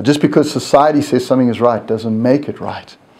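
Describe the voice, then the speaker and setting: Audible room echo around a man talking at a fairly quick pace. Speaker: university lecturer. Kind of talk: recorded lecture tutorial.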